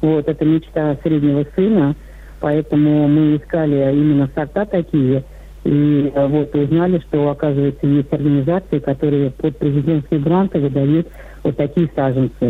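A woman's very deep, low voice, monotone and flat, at a moderate pace with very even loudness. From Ivanovo region, Russia. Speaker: caller. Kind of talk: casual chat. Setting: phone call.

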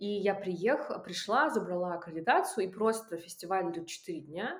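A woman with a plain, everyday voice, medium pitch, lively intonation and a fairly quick pace. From Russian Far East. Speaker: film festival curator and documentary director. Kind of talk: casual interview.

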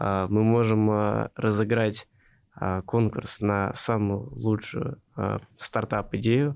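Here a man speaks at a fairly low pitch. His intonation stays fairly even. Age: 20s. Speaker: venture investor. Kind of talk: interview.

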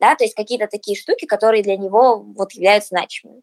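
Music in the background behind a woman's medium-pitched voice, with ordinary pitch variation and a dry, close sound with no echo. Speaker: music marketing agency manager. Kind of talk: casual interview.

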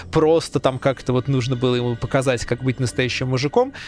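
There is vocal fry as a man talks at a fairly quick pace. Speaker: video game researcher. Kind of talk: casual chat.

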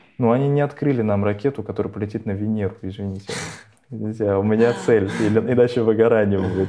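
A man talks at a very fast pace with fairly even intonation. His voice is fairly low, with a dark, mellow tone. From Russia, Nizhny Novgorod. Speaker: podcast co-host. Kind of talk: casual chat.

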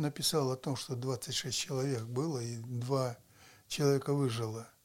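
A man with a fairly high pitch speaks very slowly. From Russia, Murmansk. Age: 80s+. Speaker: former city mayor. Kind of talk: interview storytelling.

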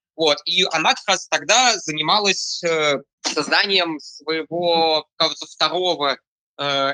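Very slowly, a man speaks in a bright, sharp, fairly high-pitched voice with ordinary pitch variation and a dry, close sound with no echo. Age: 20s. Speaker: digital artist. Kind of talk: interview. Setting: voice chat. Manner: halting.

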